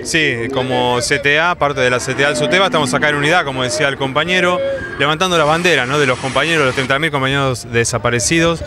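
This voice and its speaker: Clear music plays in the background as a man talks at a fairly quick pace with ordinary pitch variation, the sound dry with no echo. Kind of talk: interview answer. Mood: earnest, militant. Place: street. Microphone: handheld.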